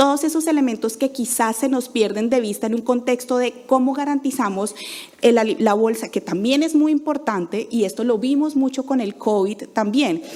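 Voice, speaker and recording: Against noticeable background noise, a woman speaks in a high pitch with ordinary pitch variation. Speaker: NGO program manager. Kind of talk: conference talk. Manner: fast.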